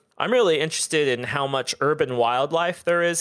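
A man with an American accent talks at a fairly quick pace with ordinary pitch variation in an ordinary speaking voice. The recording is very clean, with a silent background. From US Midwest, Southern Ohio. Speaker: author and artist. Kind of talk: casual interview.

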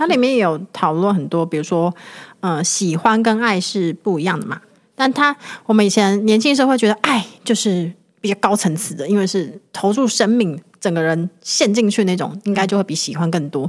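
A woman speaks at a moderate pace in a medium pitch with lively intonation and an unremarkable speaking voice. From Taiwan, Hualien. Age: 30s. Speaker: guest co-host, writer. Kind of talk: casual chat.

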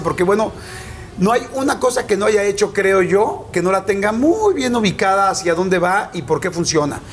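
Against noticeable background noise, a man talks at a fairly quick pace in a high pitch with ordinary pitch variation. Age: 40s. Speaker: interviewer. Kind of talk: interview; show intro to camera. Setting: Monterrey.

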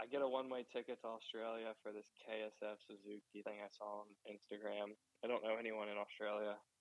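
A man's fairly low, flat, monotone voice with a Mid-Atlantic American accent. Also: fairly quick pace. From Maryland, US. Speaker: professional motocross rider. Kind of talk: interview. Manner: casual, filler-heavy.

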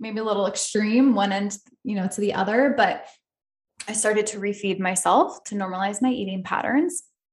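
A woman with an American accent speaks at a medium pitch and moderate pace, somewhat breathy, with ordinary pitch variation. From upstate New York. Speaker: podcast host, psychotherapist. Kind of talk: personal story monologue.

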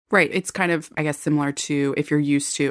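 A woman speaks with a very deep, low pitch and vocal fry. The recording is very clean, with a silent background. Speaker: podcast host. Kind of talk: interview conversation.

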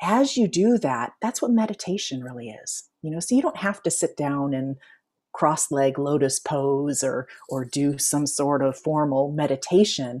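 A woman speaks with a very deep, low pitch. Her intonation is lively. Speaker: life coach and author. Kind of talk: interview. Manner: slows and lowers voice when guiding relaxation.

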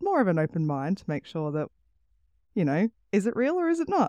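In an Australian accent, a dark, mellow voice comes through dry and close with no echo against a quiet background. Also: woman. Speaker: podcast host. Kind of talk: casual chat.

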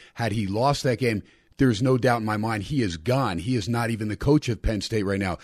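A man speaks at a fairly quick pace and medium pitch, in an ordinary speaking voice with ordinary pitch variation. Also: quiet background. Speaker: radio host and college football analyst. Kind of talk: sports betting roundtable discussion.

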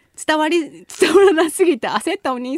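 Her pitch is extremely high and swings very widely as this woman talks at a moderate pace. The sound is dry and close with no echo. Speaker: radio host. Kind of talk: casual chat. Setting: studio. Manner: laughs often.

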